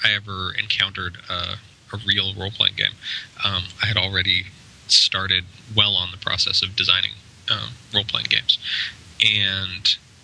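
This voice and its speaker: Against noticeable background noise, a man speaks in a flat monotone, leaving long, frequent pauses. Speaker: game designer and publisher. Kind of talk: casual interview. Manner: hesitant, many fillers.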